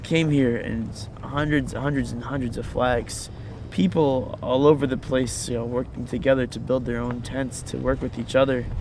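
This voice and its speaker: The speaker has an American accent and talks at a fairly quick pace. Noticeable background noise runs under the voice. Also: man. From Virginia, US. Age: 20s. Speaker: activist. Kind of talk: interview testimony. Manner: halting, many fillers and repeats.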